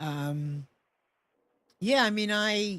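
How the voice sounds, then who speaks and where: Medium pitch and ordinary pitch variation in a woman's voice. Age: 60s. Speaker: talk show host. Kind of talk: interview conversation.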